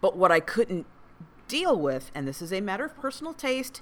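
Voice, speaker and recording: With vocal fry and very wide pitch swings, a woman speaks at a moderate pace. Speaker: podcast co-host. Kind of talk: casual banter.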